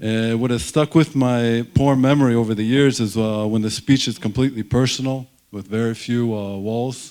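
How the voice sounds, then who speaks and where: In a very clean recording with a silent background, a man mumbles at a moderate pace in a dark, mellow tone, his medium pitch held in fairly even intonation. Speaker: surgeon, alumnus giving a ceremony speech. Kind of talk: ceremony speech. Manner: mumbling; hesitant, many fillers.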